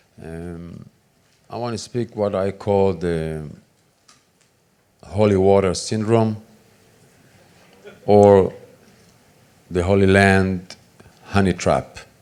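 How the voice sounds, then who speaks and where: With an Israeli accent, a man speaks at a very slow pace and fairly low pitch. His loudness swings widely, and he takes long, frequent pauses. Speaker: conference speaker. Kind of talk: conference talk. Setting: stage with audience. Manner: animated.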